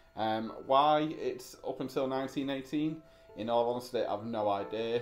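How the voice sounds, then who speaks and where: A man with ordinary pitch variation over light background noise. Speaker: antiques reseller. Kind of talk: casual vlog chat. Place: home room. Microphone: camera far.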